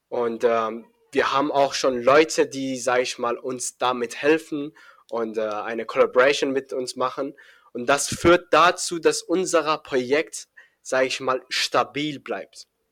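A man's fairly high voice at a fairly slow pace, with ordinary pitch variation, in a very clean recording against a silent background. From Iran, Afghan family. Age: young. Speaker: young programmer and startup founder. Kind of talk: podcast interview. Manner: hesitant, many fillers.

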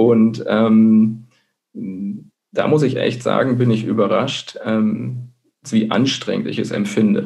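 A man talks very slowly, and the room's echo can be heard around him. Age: 30s. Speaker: blogger and marketing manager. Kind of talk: interview. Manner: hesitant, many filler sounds. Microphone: connection dropped out briefly.

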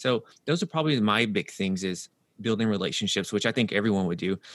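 In an American accent, a man with a fairly low pitch talks with ordinary pitch variation. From US South, Nashville, Tennessee. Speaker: health and performance coach. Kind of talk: interview.

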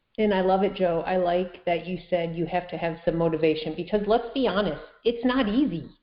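A woman with an unremarkable speaking voice talks at a fairly quick pace with hardly any pauses, a fairly low pitch and ordinary pitch variation. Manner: upbeat, laughs often.

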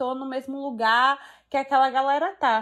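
The recording is very clean and the background silent. Her intonation, a woman's, stays fairly even. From Brazil, Salvador (Bahia). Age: 20s. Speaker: law graduate. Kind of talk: casual chat.

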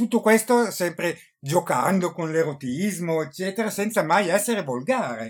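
An animated tone at a moderate pace with lively intonation. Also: man, high pitch for a man. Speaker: podcast host, book reviewer. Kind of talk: casual interview. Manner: halting.

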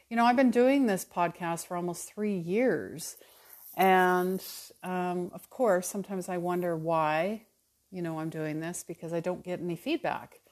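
In a Canadian accent, a woman uses a normal speaking voice at a fairly low pitch and a moderate pace, with ordinary pitch variation. The background is quiet. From Calgary, Alberta, Canada. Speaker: spiritual mentor, podcast host. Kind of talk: casual solo monologue.

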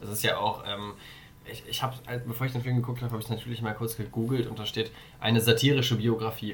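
Speech at a very fast pace comes in monotone, flat intonation with audible room echo. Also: man, medium pitch for a man. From Germany, Darmstadt. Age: 20s. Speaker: volunteer in youth political organization. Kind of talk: casual chat.

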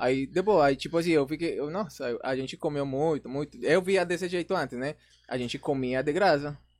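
On a very clean recording with a silent background, a man speaks at a moderate pace in a fairly high voice with ordinary pitch variation. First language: Spanish (speaking Portuguese). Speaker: influencer. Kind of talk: casual chat.

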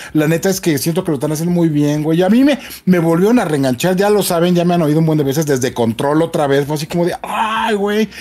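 A man with a Mexican accent speaks very fast at a high pitch in a dark, mellow tone with ordinary pitch variation. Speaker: video game show co-host. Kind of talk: casual chat. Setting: remote video call.

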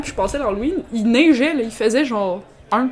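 With a Quebec accent, a woman talks at a moderate pace in a high pitch with lively intonation over noticeable background noise. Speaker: podcast co-host. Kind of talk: casual chat, gin tasting.

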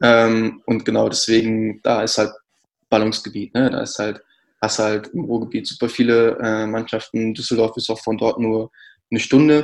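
A man speaks at medium pitch and a moderate pace against a quiet background. His intonation is monotone and flat. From North Rhine-Westphalia, Ruhr area (Kamen near Dortmund). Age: 20s. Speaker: CrossFit athlete and brand communications manager. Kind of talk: casual interview.

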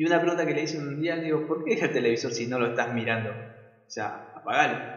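A man with an Argentine accent talks at a very fast pace, with hardly any pauses. His pitch is fairly high and his intonation lively. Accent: Rioplatense Argentine Spanish. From Argentina, Buenos Aires province. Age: 20s. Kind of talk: devotional talk. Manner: halting, with frequent repetitions.

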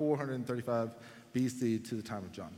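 A man is speaking. He has a Texan accent. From Texas, Dallas area. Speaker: pastor. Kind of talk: sermon. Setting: church.

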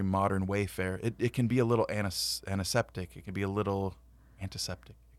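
On a very clean recording with a silent background, a man with an American accent talks at a moderate pace in a fairly low pitch with fairly even intonation. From California. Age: 40s. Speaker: podcast co-host. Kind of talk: casual chat.

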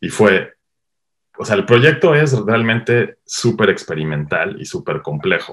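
This man talks at a fairly slow pace. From Mexico, Cuernavaca, Morelos. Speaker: cinematographer. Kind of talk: interview. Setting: online call.

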